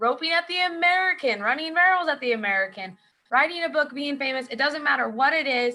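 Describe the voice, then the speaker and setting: A woman projects a raised voice, high in pitch. Her tone is bright and sharp, with lively intonation. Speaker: author and rodeo athlete. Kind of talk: presentation. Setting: video call.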